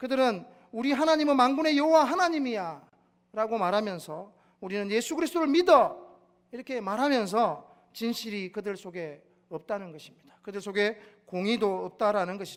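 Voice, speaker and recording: In a Gyeongsang accent, a man with a high pitch and very wide pitch swings talks at a moderate pace in a very clean recording with a silent background. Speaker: pastor. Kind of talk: sermon.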